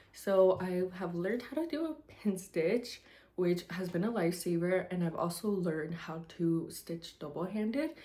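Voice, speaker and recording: With a dark, mellow tone, a woman talks at a moderate pace using lively intonation. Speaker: cross stitch hobbyist vlogger. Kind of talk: casual vlog talk to camera. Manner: hesitant, many filler ums.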